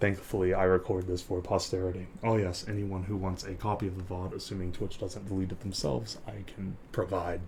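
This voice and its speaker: A man's very deep, low voice at a fairly quick pace, with fairly even intonation and noticeable background noise. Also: hardly any pauses. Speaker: live streamer. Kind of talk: ASMR live stream talk. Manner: whispered.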